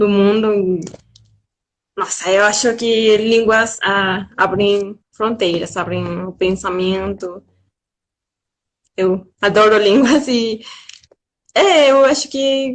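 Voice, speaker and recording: At a very slow pace with long, frequent pauses, a woman speaks with a slight Spanish accent. Her pitch sits at a medium level with ordinary variation. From Mexico. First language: Spanish (speaking Portuguese). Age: young. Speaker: guest. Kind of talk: casual chat. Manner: careful pronunciation.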